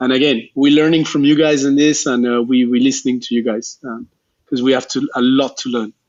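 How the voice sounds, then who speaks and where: A man speaks at a fairly quick pace with a French accent, his pitch medium and his intonation fairly even. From Geneva, Switzerland. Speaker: refugee agency staff member. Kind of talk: interview. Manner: halting.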